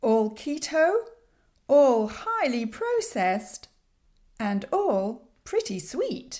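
In a British accent, a woman speaks at a very slow pace with a high pitch and very wide pitch swings. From UK. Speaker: podcast host, sugar-free lifestyle coach. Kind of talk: solo podcast monologue.

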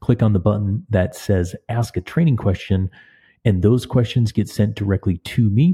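At a moderate pace, a man speaks with a dark, mellow tone, a slightly husky edge and ordinary pitch variation.

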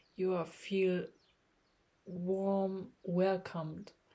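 Speaking at a very slow pace, a woman uses a medium pitch with a dark, mellow tone and a somewhat breathy quality. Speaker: meditation coach. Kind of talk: guided meditation. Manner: slow, calm, soothing; soft, hushed, with pauses between instructions.

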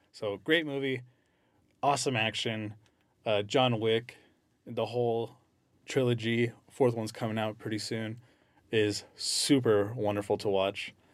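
At a fairly slow pace, a man speaks. He leaves long, frequent pauses. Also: medium pitch for a man. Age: 30s. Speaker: university alumni events staff. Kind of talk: casual chat. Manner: animated.

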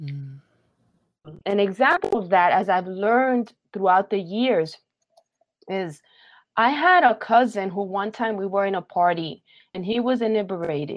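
Speaking at a fairly slow pace with long, frequent pauses, a woman talks in a New York accent. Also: medium pitch for a woman, lively intonation. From Brooklyn, New York, Puerto Rican family. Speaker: theological education leader and pastor. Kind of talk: interview.

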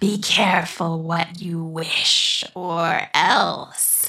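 A woman's put-on character voice, hissing and sinister in tone. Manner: sinister, taunting rhyme.

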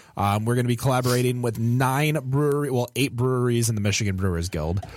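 Speaking in an ordinary speaking voice, a man keeps a medium pitch and a fairly quick pace with ordinary pitch variation. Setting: studio.

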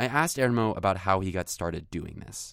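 An unremarkable speaking voice, a man with an American accent, fairly low in pitch and fairly quick, on a very clean recording with a silent background. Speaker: podcast host. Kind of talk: scripted narration.

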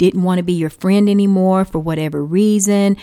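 A woman with a Texan accent speaks at a medium pitch with ordinary pitch variation, in a dry, close sound with no echo on a very clean recording with a silent background. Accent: Texan American English. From Texas. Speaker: podcast host. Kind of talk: casual advice monologue.

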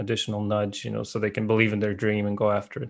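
This man speaks with a Russian accent in a fairly low pitch. The background is quiet. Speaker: tech startup co-founder and CTO. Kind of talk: interview conversation.

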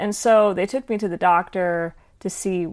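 A woman with an unremarkable speaking voice speaks at medium pitch and a moderate pace with fairly even intonation, on a very clean recording with a silent background. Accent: American. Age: 20s. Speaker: singer-songwriter and actress. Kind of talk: casual interview.

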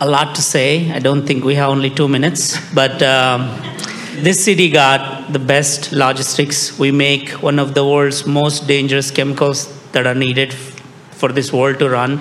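Over noticeable background noise, the speaker talks with an Indian accent in a monotone, flat intonation. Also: man, fairly high pitch for a man, moderate pace, very even loudness. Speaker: startup founder. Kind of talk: panel discussion. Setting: stage with audience.

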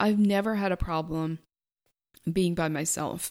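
A quiet, calm-toned woman at a fairly low pitch, moderate in pace with ordinary pitch variation, on a very clean recording with a silent background. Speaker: money mindset coach, podcast host. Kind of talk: solo podcast monologue.

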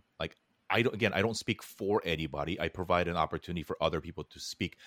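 At a very fast pace, a man with a very deep, low pitch and ordinary pitch variation speaks in a dry, close sound with no echo, in a very clean recording with a silent background. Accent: Californian. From Korea, raised in Los Angeles. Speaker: podcast producer and creator. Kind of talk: casual interview.

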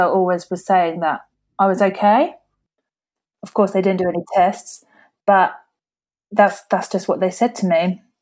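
At a moderate pace, a woman speaks with a southeast English accent. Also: very clean recording, silent background. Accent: south-east English. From Kent, England. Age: 20s. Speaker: hairdresser and patient with a rare condition. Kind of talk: interview.

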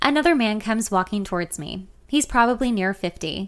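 A woman with a normal speaking voice at medium pitch, fairly quick pace, very clean recording and silent background. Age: 30s. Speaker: podcaster reading her memoir. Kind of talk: reading aloud.

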